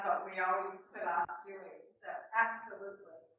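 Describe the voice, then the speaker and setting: Fairly slow woman's voice with an American accent at medium pitch, with audible room echo. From New York City. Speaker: extension educator. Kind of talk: webinar presentation. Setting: webinar with small room audience. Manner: conversational, hesitant fillers.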